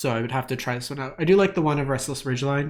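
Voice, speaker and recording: A somewhat breathy male voice at medium pitch, with ordinary pitch variation. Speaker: card game content creator. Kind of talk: tutorial. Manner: casual with fillers.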